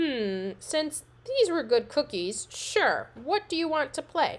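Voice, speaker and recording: Growling in a put-on character voice, a woman speaks fairly slowly with a high pitch and very wide pitch swings. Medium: read story. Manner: gentle, growling.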